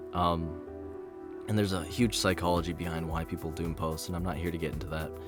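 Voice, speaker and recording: A fairly quick pace with music in the background. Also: man. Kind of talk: opinion commentary on a video game. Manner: rambling, casual.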